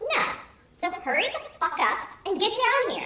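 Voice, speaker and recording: A woman's voice sits at an extremely high pitch with very wide pitch swings. There is a slight echo. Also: moderate pace. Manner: snarky, condescending, impatient.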